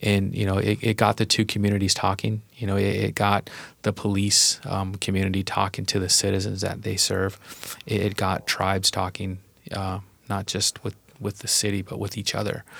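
On a very clean recording with a silent background, a man with an American accent speaks at a moderate pace, fairly low in pitch, in a monotone, flat intonation. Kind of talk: casual chat. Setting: studio.

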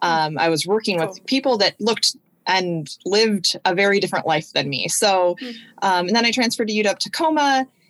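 A woman talks at a fairly quick pace in an unremarkable speaking voice of medium pitch. Her intonation is lively. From Washington State, US (South Sound). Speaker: university admissions director. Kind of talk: casual interview chat.

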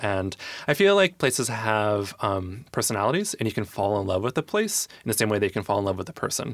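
Delivered in a normal speaking voice with an American accent, the speech moves at a fairly quick pace with ordinary pitch variation in a very clean recording with a silent background. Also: man, fairly low pitch for a man. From US Midwest, Michigan. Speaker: arts nonprofit director. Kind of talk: casual interview.

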